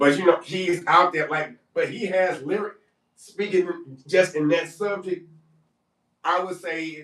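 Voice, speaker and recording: A man with a Detroit accent, high in pitch, at a fairly slow pace. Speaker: podcast co-host. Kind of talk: casual chat. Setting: live stream panel.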